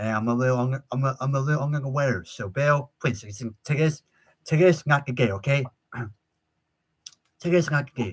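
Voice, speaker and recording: The speaker talks at a moderate pace with ordinary pitch variation and a somewhat breathy voice. Long pauses come often. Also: man, medium pitch for a man. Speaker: live stream show host. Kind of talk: casual live stream chat. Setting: live YouTube stream. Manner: halting, repetitive stammering.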